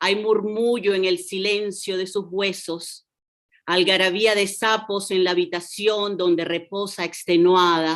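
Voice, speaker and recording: Against a quiet background, a woman speaks at a moderate pace and medium pitch with monotone, flat intonation. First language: Spanish. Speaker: poet. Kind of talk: poetry reading. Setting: video call.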